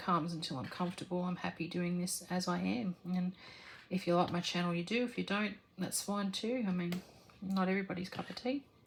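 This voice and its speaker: Soft-spoken, a woman with an Australian accent talks at a moderate pace, fairly low in pitch with fairly even intonation. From Australia, rural New South Wales. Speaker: crafting vlogger. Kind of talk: casual Q&A chat while crafting. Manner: halting, many fillers.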